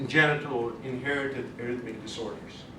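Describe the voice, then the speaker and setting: Fairly even intonation and medium pitch from a man, amid noticeable background noise and audible room echo. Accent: slight non-native. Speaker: cardiologist giving a talk. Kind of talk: educational lecture. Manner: conversational, with false starts.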